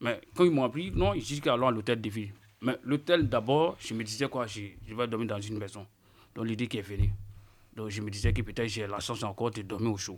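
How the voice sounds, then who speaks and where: On a very clean recording with a silent background, a man speaks at a medium pitch and a fairly quick pace, with ordinary pitch variation. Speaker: unaccompanied minor migrant. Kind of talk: testimony.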